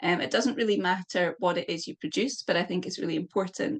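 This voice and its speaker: This is a woman speaking with a Scottish accent. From Scotland. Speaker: poet. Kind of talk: interview. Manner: halting.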